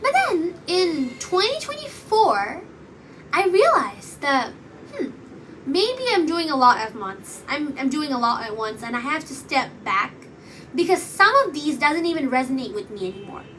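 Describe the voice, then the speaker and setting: In a room with audible echo and noticeable background noise, a woman speaks at a moderate pace with a high pitch, very wide pitch swings and big swings in loudness. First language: Bengali. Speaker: podcast host and YouTuber. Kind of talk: casual monologue. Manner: rambling, hesitant, many fillers. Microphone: poor audio quality.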